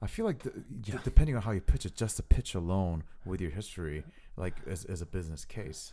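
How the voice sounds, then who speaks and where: On a very clean recording with a silent background, a man talks very fast in a very deep, low voice. His tone is dark and mellow, with ordinary pitch variation and big swings in loudness. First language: not English. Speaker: podcast host. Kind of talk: casual chat. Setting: host's apartment.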